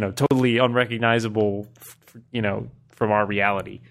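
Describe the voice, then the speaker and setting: Over music in the background, a man at medium pitch speaks at a moderate pace. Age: 30s. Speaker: podcast panelist. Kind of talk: casual chat.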